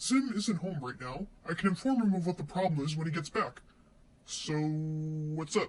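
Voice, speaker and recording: Using a put-on character voice, a man speaks at a moderate pace in a fairly high pitch. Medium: audio drama. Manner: calm, polite, reasonable.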